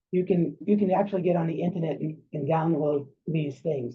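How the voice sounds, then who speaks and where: A man talks at a fairly quick pace. His voice is fairly high, with fairly even intonation. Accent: New York. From New York. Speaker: psychiatrist. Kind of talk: lecture. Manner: halting.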